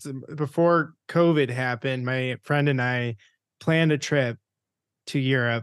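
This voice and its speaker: A man's unremarkable speaking voice, fairly high and fairly even, at a fairly slow pace over a quiet background. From Rochester, New York, US. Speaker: podcast host. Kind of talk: podcast outro; interview conversation. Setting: video call.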